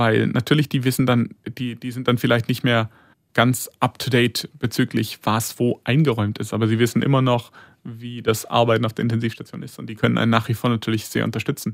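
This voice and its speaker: Speaking fairly quickly, a man keeps his intonation flat and monotone. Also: medium pitch for a man, dry, close sound with no echo, very clean recording, silent background. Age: 30s. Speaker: intensive care nurse. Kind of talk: interview.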